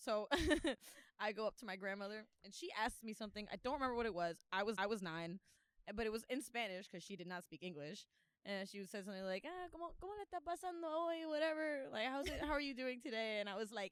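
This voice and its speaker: A woman speaks very fast in a Miami accent. Her fairly high pitch swings very widely. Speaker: podcast co-host. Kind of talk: casual chat.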